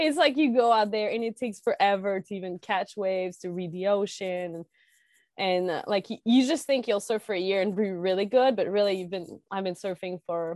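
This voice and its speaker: A woman talks at a moderate pace and medium pitch, with ordinary pitch variation. The background is quiet. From Quebec, rural northeast of Quebec City. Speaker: pro snowboarder and environmental activist. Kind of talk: casual interview chat.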